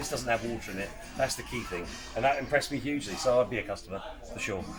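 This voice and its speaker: Music plays behind a man talking at a very fast pace. His pitch varies in an ordinary way. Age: 60s. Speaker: retail expert. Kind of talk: product review.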